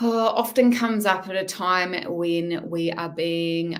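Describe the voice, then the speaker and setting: Very slowly, a woman speaks with a bright, sharp tone and fairly even intonation. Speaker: tarot reader and mindset coach. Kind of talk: live-stream tarot reading.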